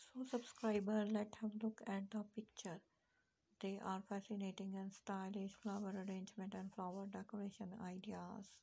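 Her voice is medium-pitched with vocal fry, a dark, mellow tone, a slightly husky edge, little pitch movement, and a moderate pace.

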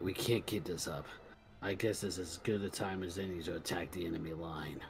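Over clear background noise, a man does a put-on character voice with a very deep, low pitch at a fairly quick pace. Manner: cold, menacing.

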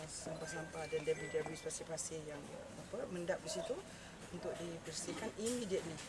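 Music plays in the background while a woman speaks at a moderate pace. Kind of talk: press interview answer. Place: street. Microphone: handheld.

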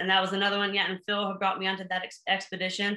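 A voice with an American accent comes through with audible room echo. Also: woman. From US Pacific Northwest, Seattle. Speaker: mountaineer. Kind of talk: casual interview. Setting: video call. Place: home room. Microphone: video call.

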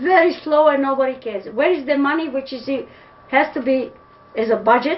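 The speech moves at a fairly quick pace with ordinary pitch variation, interrupted by long, frequent pauses. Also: woman, high pitch for a woman. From Serbia (Pančevo). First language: Serbian. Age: old. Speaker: interviewee. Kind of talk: interview answer. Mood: disappointed, indignant. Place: home room. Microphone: webcam.

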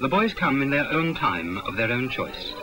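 A man speaks in a solemn tone at a fairly high pitch. Noticeable background noise runs underneath. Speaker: documentary narrator. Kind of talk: 1961 school promotional film narration. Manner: formal, solemn, rhetorical. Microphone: old recording.

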